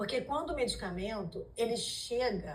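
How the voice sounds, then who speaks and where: A woman speaks at a fairly slow pace with lively intonation and vocal fry. Room echo is audible. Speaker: lawyer. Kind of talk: symposium lecture. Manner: hesitant fillers.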